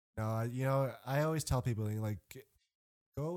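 A man with an American accent speaks at a moderate pace in a medium pitch, captured in a very clean recording with a silent background. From US. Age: 30s. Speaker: guest. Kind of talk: casual chat. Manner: animated.

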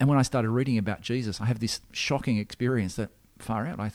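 At a very fast pace and with ordinary pitch variation, the speech comes through on a very clean recording with a silent background. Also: man. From Australia, Sydney. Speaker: Anglican minister. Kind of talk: interview. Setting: church. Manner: halting.

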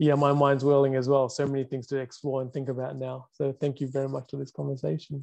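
The man's voice has a medium pitch and a dark, mellow tone. His pace is fairly quick. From Sri Lanka. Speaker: guest, biologist and consultant. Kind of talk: casual interview conversation.

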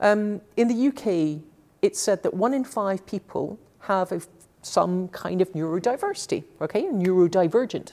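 A woman speaks at a moderate pace with a medium pitch. Her intonation is lively and her tone dark and mellow. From Scotland, Glasgow. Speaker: technology executive. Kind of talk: interview. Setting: office.

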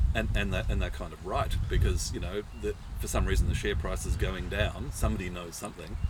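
Audible room echo and noticeable background noise surround a speaker with an Australian accent. The pace is fairly quick, with hardly any pauses. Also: man. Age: 60s. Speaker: professional share market investor. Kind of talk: casual chat. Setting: outdoors at a vineyard.

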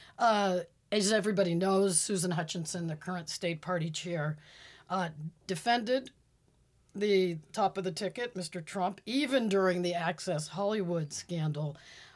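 This woman has an ordinary speaking voice with an American accent. Her pitch is medium, with ordinary variation, and her pace is moderate. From Pittsburgh, Pennsylvania. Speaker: political analyst. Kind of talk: interview.

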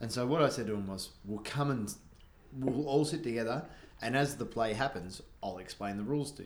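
Here a man speaks with an Australian accent at a fairly quick pace. His medium pitch moves with ordinary variation. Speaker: podcast host. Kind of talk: casual pub podcast chat. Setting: bar.

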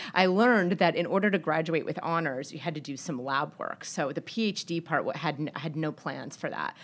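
A woman with a normal speaking voice and a fairly low pitch talks at a moderate pace in a very clean recording with a silent background. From Texas, El Paso. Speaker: venture capitalist. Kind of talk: interview. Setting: studio.

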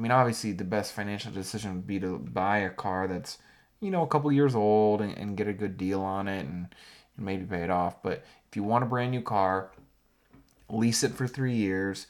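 A man's fairly low voice, a plain, everyday voice, on a very clean recording with a silent background. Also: ordinary pitch variation, moderate pace. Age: 20s. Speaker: podcast co-host. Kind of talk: casual chat.

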